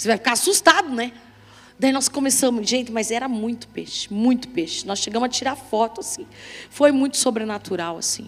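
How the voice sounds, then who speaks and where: High female pitch and lively intonation from a woman. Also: fairly quick pace. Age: middle-aged. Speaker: pastor. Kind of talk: sermon. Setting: church.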